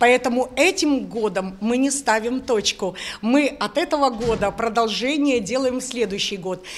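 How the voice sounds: Her pitch is fairly high, with ordinary pitch variation. The woman keeps a moderate pace.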